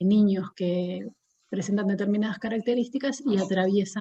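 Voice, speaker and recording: Speaking at a fairly slow pace, a woman has a medium pitch with ordinary pitch variation and a somewhat breathy, dark, mellow tone. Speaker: psychologist. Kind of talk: lecture.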